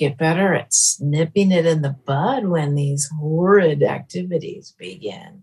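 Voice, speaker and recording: Speaking fairly slowly and with hardly any pauses, a woman with an American accent sounds somewhat breathy. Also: fairly low pitch for a woman, ordinary pitch variation. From Northern California. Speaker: folk musician. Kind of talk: casual chat. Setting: video call.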